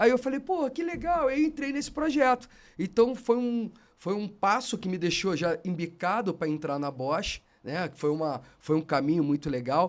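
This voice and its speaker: Speaking at a high pitch, a man moves through very wide pitch swings. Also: moderate pace. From Brazil, Rio de Janeiro. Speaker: automotive industry executive. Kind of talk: podcast interview. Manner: animated.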